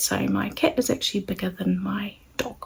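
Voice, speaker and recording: With a New Zealand accent, a woman speaks at a fairly slow pace. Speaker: sewing channel creator. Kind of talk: casual vlog introduction. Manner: hesitant with fillers.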